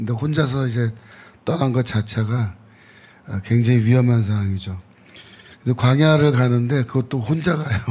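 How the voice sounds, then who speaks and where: Somewhat breathy and at medium pitch, a man speaks at a moderate pace, broken by long, frequent pauses. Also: ordinary pitch variation. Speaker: theology professor. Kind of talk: Bible teaching talk.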